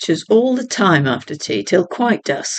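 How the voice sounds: The clip features a natural reading voice throughout.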